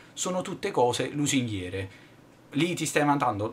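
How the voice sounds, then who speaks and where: Talking at a fairly quick pace, a man keeps a fairly high pitch. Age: 20s. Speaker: YouTuber, tech reviewer; YouTuber. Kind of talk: vlog monologue. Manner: halting, many fillers. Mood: irritated, venting. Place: home room. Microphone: webcam.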